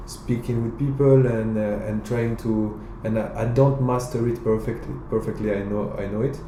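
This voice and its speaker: A man with a French accent at a moderate pace, monotone and flat, amid noticeable background noise and audible room echo. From France (Bordeaux, southwest). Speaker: reggae singer. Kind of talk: interview. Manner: halting, many fillers.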